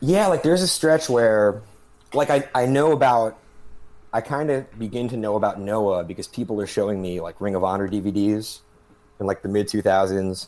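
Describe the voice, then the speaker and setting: A man's fairly low voice, a normal speaking voice, with lively intonation at a moderate pace. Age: 30s. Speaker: podcast guest and wrestling writer. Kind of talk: casual chat.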